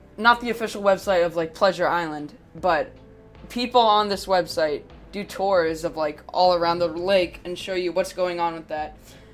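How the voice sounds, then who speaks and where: At a moderate pace over background music, a woman speaks with a fairly low pitch and ordinary pitch variation. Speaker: YouTube mystery narrator. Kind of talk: casual commentary to camera. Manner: hesitant, filler-heavy.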